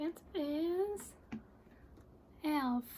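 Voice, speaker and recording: A woman talks with a Hungarian accent. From Hungary. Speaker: collector showing films. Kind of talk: casual show-and-tell.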